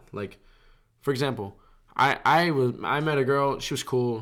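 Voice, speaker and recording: Speaking with an American accent, a man shows ordinary pitch variation. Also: very clean recording, silent background. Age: 20s. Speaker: podcast co-host. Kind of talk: casual chat. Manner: casual, jokey.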